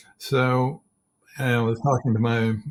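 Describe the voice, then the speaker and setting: Somewhat breathy is how this voice sounds. It belongs to a man. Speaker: leadership coach. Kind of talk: interview. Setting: podcast.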